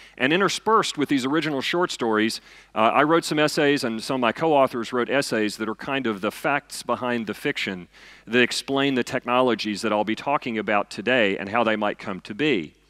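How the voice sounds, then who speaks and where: Fairly quick speech from a man with a Southern US accent, medium pitch, ordinary pitch variation and a bright, sharp tone, the sound dry and close with no echo. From US South, eastern Kentucky. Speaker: physicist and science fiction author. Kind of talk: lecture. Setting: stage with audience. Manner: loud.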